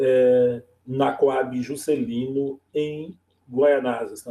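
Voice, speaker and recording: A man at a medium pitch and very slow pace, dark and mellow in tone, with ordinary pitch variation. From São Paulo east zone, Brazil. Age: 50s. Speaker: teacher. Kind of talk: oral history interview.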